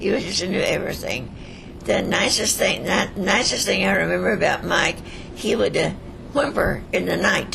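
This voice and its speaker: A woman talks at a moderate pace. Noticeable background noise and audible room echo accompany her voice. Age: 80s+. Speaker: centenarian interviewee. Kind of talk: life story interview.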